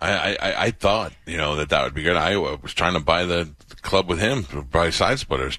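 At a moderate pace, a man talks in a very deep, low pitch with a bright, sharp tone, vocal fry and ordinary pitch variation. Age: 40s. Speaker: radio host. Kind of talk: casual chat. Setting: home studio.

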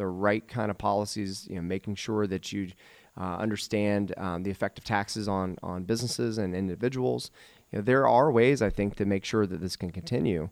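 A man's fairly low voice, an ordinary speaking voice, with ordinary pitch variation at a moderate pace, on a very clean recording with a silent background. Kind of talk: radio show patter, teasing the break and station ID in a sign-off. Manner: brisk, upbeat, salesy radio-announcer cadence.

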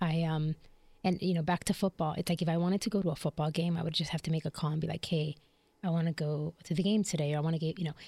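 A woman talks at a very fast pace in a fairly low, somewhat breathy voice. Her intonation is monotone and flat, her loudness very even, and the recording very clean with a silent background. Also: dry, close sound with no echo. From US Midwest, Chicago. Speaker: leadership coach. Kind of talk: casual interview.

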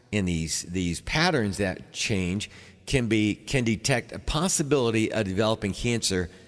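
With music in the background, a man with a fairly low pitch talks at a moderate pace using very wide pitch swings. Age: 60s. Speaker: chiropractor and radio health show host. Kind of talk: radio health talk show. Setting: radio studio, pre-recorded. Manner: halting, with frequent fillers and repeats.

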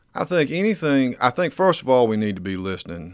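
This voice has a Georgia accent. It moves at a fairly quick pace. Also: man. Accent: Georgia Southern. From US South, eastern Georgia (Burke County). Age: 30s. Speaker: local political candidate, insurance agent. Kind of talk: radio interview. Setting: studio. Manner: formal and polite.

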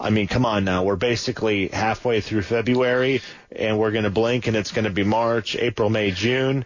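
An ordinary speaking voice at a moderate pace, very even in loudness, with fairly even intonation. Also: man, medium pitch for a man. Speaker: radio producer and co-host. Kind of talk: call-in radio show. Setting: studio.

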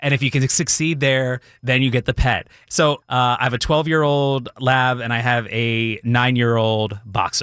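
A man with an American accent speaks at a moderate pace and a medium pitch, with fairly even intonation and very even loudness. He has an ordinary speaking voice. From Philadelphia area / South Jersey. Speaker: TV meteorologist. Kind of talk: radio interview, casual chat. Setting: radio studio.

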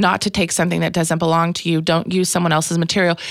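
The speech comes with an American accent in a very clean recording with a silent background. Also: woman. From Kansas. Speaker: stand-up comedian. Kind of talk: casual interview chat. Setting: studio. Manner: fast talker.

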